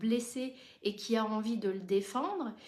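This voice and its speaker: A woman speaks with ordinary pitch variation. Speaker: therapist and supervisor. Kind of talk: live stream talk. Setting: live stream.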